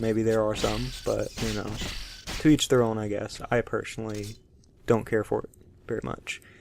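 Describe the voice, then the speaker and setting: A man is speaking here. He has a Southern US accent. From US South, Alabama. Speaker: gaming YouTuber. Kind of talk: let's play commentary. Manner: slow, low tone; halting, many fillers.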